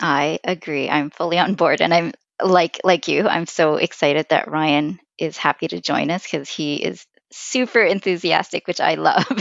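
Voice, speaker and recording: A woman with a Canadian accent speaks at a fairly low pitch, with vocal fry. Her pitch variation is ordinary and her pace moderate. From Vancouver, Canada. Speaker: podcast co-host, finance blogger. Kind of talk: casual chat.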